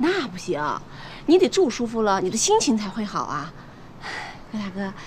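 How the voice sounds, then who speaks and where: A woman talks at a moderate pace, with very wide pitch swings and big swings in loudness. Light background noise sits behind her. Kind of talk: scripted drama dialogue. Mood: cheerful, coaxing, flirtatious. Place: garden.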